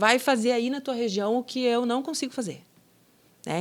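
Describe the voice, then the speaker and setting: In a southern Brazilian accent, a woman talks at a moderate pace on a very clean recording with a silent background. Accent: gaúcho (southern Brazilian). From southern Brazil (Rio Grande do Sul). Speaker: business owner, franchise founder. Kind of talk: podcast interview. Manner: conversational, with fillers.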